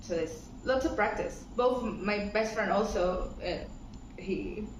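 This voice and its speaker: Amid audible room echo and noticeable background noise, someone with a Latin American accent speaks at a very slow pace with ordinary pitch variation. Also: woman, medium pitch for a woman. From Ecuador, Pacific coast (Guayaquil). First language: Spanish. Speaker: interviewee. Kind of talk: casual interview chat.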